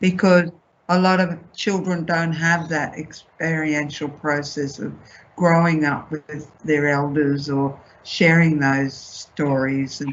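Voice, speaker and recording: At a very slow pace, a woman with a very deep, low pitch speaks in an Australian accent. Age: 70s. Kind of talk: panel discussion.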